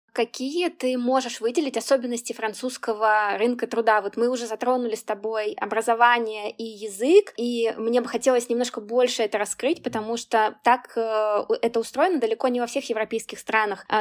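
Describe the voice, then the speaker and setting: A moderate pace, fairly even intonation and hardly any pauses. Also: woman, fairly high pitch for a woman. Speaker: podcast host and career consultant. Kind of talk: interview conversation. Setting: video call.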